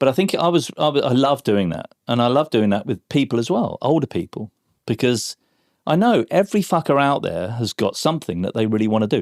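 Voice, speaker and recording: A man with an English accent speaks at a medium pitch and a fairly quick pace with very wide pitch swings, in a very clean recording with a silent background and a dry, close sound with no echo. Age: 60s. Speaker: former advertising creative. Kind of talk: podcast interview. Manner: animated.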